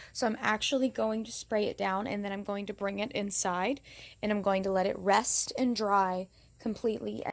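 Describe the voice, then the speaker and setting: The recording is very clean, with a silent background. An unremarkable speaking voice moves at a moderate pace with fairly even intonation. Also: woman, medium pitch for a woman. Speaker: DIY crafts vlogger. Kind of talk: casual tutorial vlog. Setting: outdoors, then indoors in closet.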